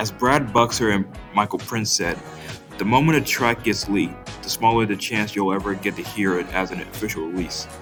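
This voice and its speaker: A man at a fairly quick pace with ordinary pitch variation, music in the background. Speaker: music commentary youtuber. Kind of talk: commentary talk to camera.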